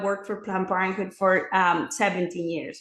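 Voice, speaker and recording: There is audible room echo around the voice. A woman talks with a Mexican accent. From Mexico City, Mexico. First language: Spanish. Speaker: former clinic director turned pro-life advocate. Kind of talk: interview testimony.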